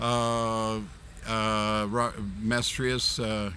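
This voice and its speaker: Audible room echo surrounds a man whose fairly low voice has a bright, sharp tone. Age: 70s. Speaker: martial arts master. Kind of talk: interview. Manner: halting, many fillers.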